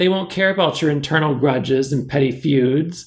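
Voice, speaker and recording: A man speaks in a shrill, put-on character voice at a moderate pace, his pitch fairly high and its variation ordinary. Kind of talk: authoritative, addressing a meeting. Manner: commanding.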